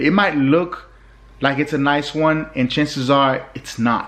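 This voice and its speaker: Here a man is speaking. His voice sits fairly high in pitch. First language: not English (English is third language). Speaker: road trip vlogger. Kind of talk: casual monologue to camera. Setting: indoors, not on the road. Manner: hesitant, many fillers and repeats.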